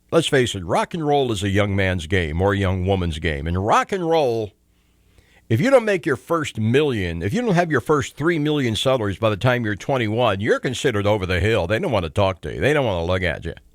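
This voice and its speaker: Moving at a fairly quick pace, a man with a fairly low pitch makes very wide pitch swings. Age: 60s. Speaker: talk radio host. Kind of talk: call-in talk radio monologue. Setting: radio studio. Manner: conversational, with frequent fillers.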